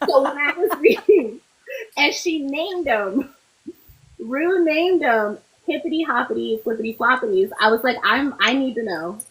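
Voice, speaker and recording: At a moderate pace, a woman with a high pitch speaks in an animated tone, her pitch swinging very widely. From Puerto Rico and Florida. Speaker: podcast co-host. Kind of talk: casual chat.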